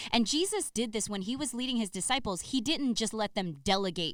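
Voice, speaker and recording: A woman with an American accent talks at a very fast pace with lively intonation. Her pitch is medium, and the recording is very clean with a silent background. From US mainland, family from Saipan. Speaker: podcast co-host. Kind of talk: casual conversational podcast.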